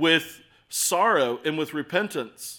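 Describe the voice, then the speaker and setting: In a very clean recording with a silent background, a man speaks with a bright, sharp tone at a fairly high pitch. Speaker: preacher. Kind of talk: sermon. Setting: church. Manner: animated.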